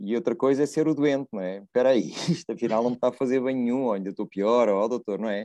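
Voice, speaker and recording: A man with a medium pitch speaks very fast with hardly any pauses, his dark, mellow tone showing ordinary pitch variation in a dry, close sound with no echo over a quiet background. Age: 50s. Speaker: landscape architect. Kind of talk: casual chat.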